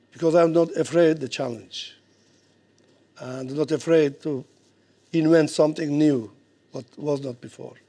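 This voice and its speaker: A man with a Georgian accent, a fairly high pitch and a dark, mellow tone, using fairly even intonation at a moderate pace. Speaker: boxing coach. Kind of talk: speech at an event. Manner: halting.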